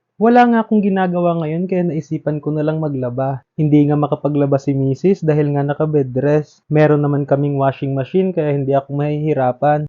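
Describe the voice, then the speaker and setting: A man with a strong Visayan accent talks at a fairly quick pace and a fairly high pitch. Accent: Visayan accent in Tagalog, strong. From Visayas, Philippines. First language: Cebuano (speaking Tagalog). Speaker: vlogger. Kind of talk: vlog narration.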